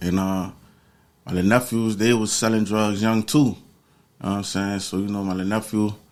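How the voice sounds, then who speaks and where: A man with an American accent and a fairly low pitch speaks at a very fast pace with monotone, flat intonation. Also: long, frequent pauses. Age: 40s. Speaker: former prisoner. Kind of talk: interview. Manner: casual, slangy.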